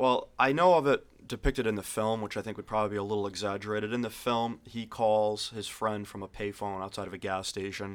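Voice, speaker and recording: This man talks at a very fast pace with hardly any pauses. His intonation is fairly even and his pitch fairly low. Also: very clean recording, silent background. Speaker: alien enthusiast guest. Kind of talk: casual interview chat.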